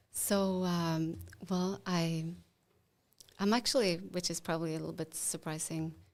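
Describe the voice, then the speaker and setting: A woman with a Swedish accent, fairly low in pitch with ordinary pitch variation, at a fairly slow pace with long, frequent pauses. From Sweden, Småland (Jönköping). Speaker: AI analytics advisor. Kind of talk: podcast interview.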